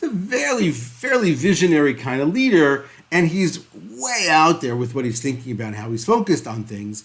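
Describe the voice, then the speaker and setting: A man talks in a fairly high, somewhat breathy voice with hardly any pauses. His pitch swings very widely. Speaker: podcast host and leadership coach. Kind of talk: solo podcast presentation. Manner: fast; uses fillers (uh).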